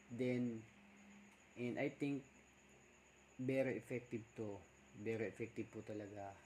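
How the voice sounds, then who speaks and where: Here a man speaks in a dark, mellow tone at a medium pitch, somewhat breathy and at a fairly slow pace. His intonation stays fairly even, broken by long, frequent pauses. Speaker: vlogger. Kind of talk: casual vlog talk. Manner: soft-spoken, deliberately quiet.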